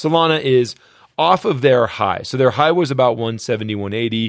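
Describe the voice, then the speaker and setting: A man talks at a fairly quick pace with lively intonation. His is an unremarkable speaking voice. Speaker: crypto podcast co-host. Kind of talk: angry rant. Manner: indignant, increasingly heated and exasperated.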